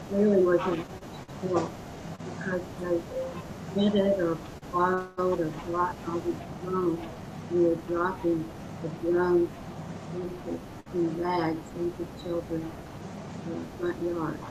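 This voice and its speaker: A quiet woman's voice, fairly low in pitch, monotone and flat, at a fairly slow pace with long, frequent pauses, amid audible room echo and noticeable background noise. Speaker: property owner joining by video call. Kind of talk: casual chat. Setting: video call. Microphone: too quiet.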